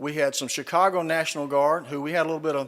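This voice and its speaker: A man speaks with a Southern US accent at a fairly quick pace. His pitch is fairly high and his intonation fairly even. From US South. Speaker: retired army general, speaker. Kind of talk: keynote speech. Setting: stage with audience. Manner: folksy, humorous storytelling.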